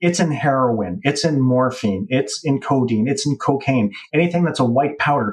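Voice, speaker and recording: With an unremarkable speaking voice, a man talks at a moderate pace, fairly high in pitch with lively intonation. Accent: Canadian. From Canada. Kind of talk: casual chat.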